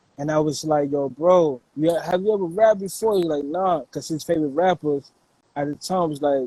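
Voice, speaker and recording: Someone speaks with an American accent in a dark, mellow tone. The pace is moderate, the pitch varies in an ordinary way, and the sound is dry and close with no echo. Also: man, fairly high pitch for a man. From New York City, Brooklyn; later Virginia. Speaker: hip-hop producer. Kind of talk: interview conversation. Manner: casual, filler-heavy.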